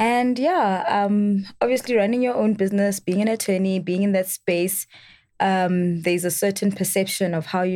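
In an ordinary speaking voice, a woman talks at a moderate pace with medium pitch and ordinary pitch variation on a very clean recording with a silent background. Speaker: attorney and founder of legal education platform.

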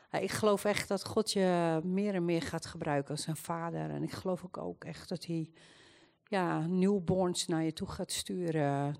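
Over a quiet background, a woman with a plain, everyday voice speaks at a fairly slow pace in a fairly low pitch with ordinary pitch variation. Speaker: churchgoer giving prophetic words.

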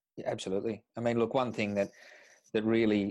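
Over a quiet background, a man with a rural Australian accent talks in a dark, mellow tone with fairly even intonation, the sound dry and close with no echo. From Tumut, rural New South Wales, Australia. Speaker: real estate agency principal. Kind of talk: interview.

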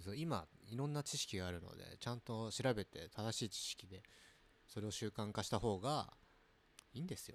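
A man at a medium pitch and a moderate pace, with lively intonation and long, frequent pauses. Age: 30s. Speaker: podcast co-host. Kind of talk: casual chat.

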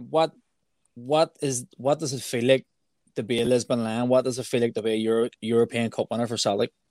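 With an ordinary speaking voice, a man talks at a medium pitch and with fairly even intonation. The sound is dry and close, with no echo. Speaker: podcast co-host. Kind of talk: interview.

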